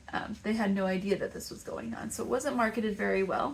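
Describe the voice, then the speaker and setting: A woman talks with a Texas accent. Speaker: crochet maker and market vendor. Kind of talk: casual vlog talk.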